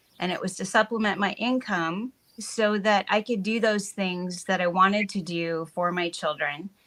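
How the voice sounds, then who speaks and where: A woman speaks in a plain, everyday voice at a medium pitch. Her pace is moderate, with hardly any pauses. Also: fairly even intonation. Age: 60s. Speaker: wellness business owner. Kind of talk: casual chat. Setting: live stream.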